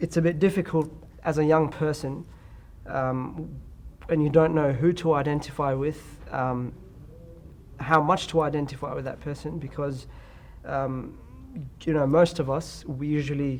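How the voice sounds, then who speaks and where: In an Australian accent, a man speaks slowly in a fairly high, monotone, flat voice, with long, frequent pauses. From Australia (Perth). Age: 20s. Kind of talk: interview.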